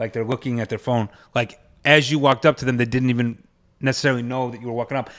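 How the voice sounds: A man talks at a fast pace. His pitch is medium and his tone fairly bright.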